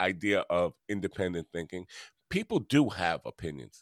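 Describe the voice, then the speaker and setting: A man speaks at a moderate pace with a New York accent. The recording is very clean, with a silent background and a dry, close sound with no echo. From Long Island, New York. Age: 60s. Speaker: podcast host and musician. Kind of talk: interview.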